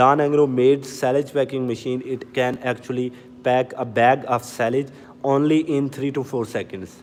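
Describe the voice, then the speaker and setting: A man is talking. His speech carries a non-native accent. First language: not English. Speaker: machinery sales presenter. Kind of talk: live stream product demo. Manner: casual, repetitive.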